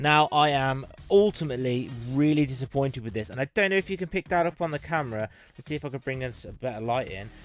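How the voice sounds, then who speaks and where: A man with a British accent talks at a very fast pace and a fairly high pitch, with ordinary pitch variation and big swings in loudness. Music plays in the background, and the sound is dry and close with no echo. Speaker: tech reviewer. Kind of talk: unboxing review. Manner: casual, conversational; mumbling.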